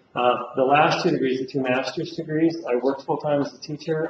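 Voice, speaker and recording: Over noticeable background noise, a man talks at a fairly quick pace with fairly even intonation and a fairly high pitch. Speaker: college teacher. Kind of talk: lecture. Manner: loud; fast.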